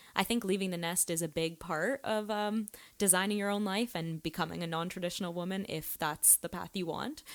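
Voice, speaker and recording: A woman with a Canadian accent speaks at a moderate pace, using ordinary pitch variation. She has an unremarkable speaking voice, captured in a very clean recording with a silent background. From Canada (Toronto). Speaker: podcast host. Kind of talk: casual chat.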